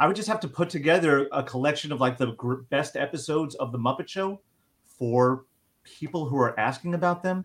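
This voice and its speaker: A man speaks in a plain, everyday voice at a fairly high pitch. His pace is fairly quick, with ordinary pitch variation. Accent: American. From US, Long Island, New York. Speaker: TV writer and trailer producer. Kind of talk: casual interview chat.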